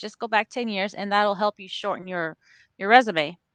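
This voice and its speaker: Recorded dry and close with no echo against a quiet background, a woman talks at a fairly quick pace with ordinary pitch variation. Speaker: recruiter. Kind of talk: casual chat. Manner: fast; animated.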